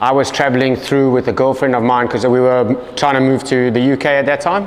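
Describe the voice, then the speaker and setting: Recorded with noticeable background noise and audible room echo, a man at medium pitch speaks at a fairly quick pace with very even loudness and fairly even intonation. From South Africa. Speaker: gym coach and former engineer. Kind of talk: interview. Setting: gym. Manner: casual, relaxed.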